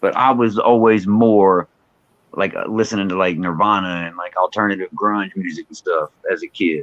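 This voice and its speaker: Loudness swings widely as a man with a fairly low pitch speaks at a moderate pace in fairly even intonation, the sound dry and close with no echo. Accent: Texan. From Texas, Fort Worth. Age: 40s. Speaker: rapper. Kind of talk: interview. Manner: casual, filler-heavy.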